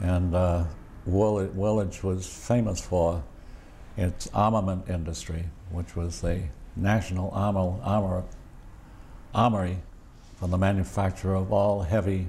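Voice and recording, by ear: A man speaks at a fairly slow pace in a low voice with a slightly mellow tone, little pitch movement and long, frequent pauses.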